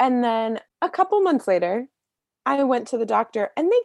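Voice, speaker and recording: A woman at a moderate pace with very wide pitch swings and a dry, close sound with no echo. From US, Maryland. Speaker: author. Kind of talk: casual chat. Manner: animated.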